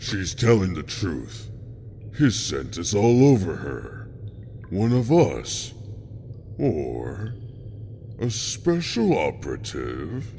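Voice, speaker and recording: A man's put-on character voice, fairly low in pitch, at a very slow pace with long, frequent pauses and clear background noise. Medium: audio drama. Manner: predatory, mocking.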